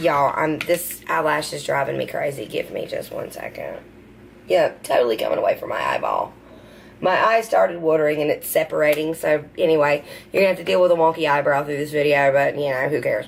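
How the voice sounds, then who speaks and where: A woman speaks with a Southern US accent over noticeable background noise. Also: fairly quick pace. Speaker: beauty vlogger. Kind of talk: unboxing video. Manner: casual, hesitant with fillers.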